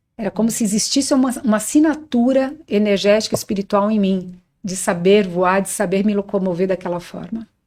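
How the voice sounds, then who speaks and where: A woman's dark, mellow tone at a fairly quick pace, with ordinary pitch variation and hardly any pauses. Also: medium pitch for a woman. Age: 60s. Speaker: spiritual teacher on astral projection and bioenergy. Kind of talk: podcast interview, personal testimony.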